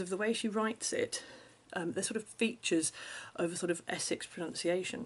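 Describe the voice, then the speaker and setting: Her intonation lively, a woman with medium pitch speaks at a very fast pace. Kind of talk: casual talk to camera.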